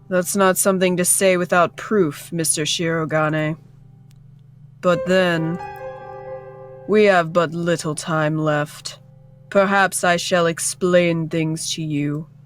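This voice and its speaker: A woman performs a put-on character voice, fairly low in pitch and at a fairly slow pace. Faint music plays in the background. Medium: game stream. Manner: polite, measured, condescending.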